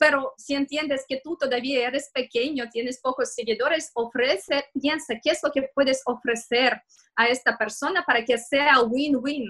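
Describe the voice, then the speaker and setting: A woman with a high pitch and a bright, sharp tone speaks at a fairly slow pace. She barely pauses, and her intonation stays fairly even. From Russia, Moscow. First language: Russian (speaking Spanish). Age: 30s. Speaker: digital marketing consultant. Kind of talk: interview. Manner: halting.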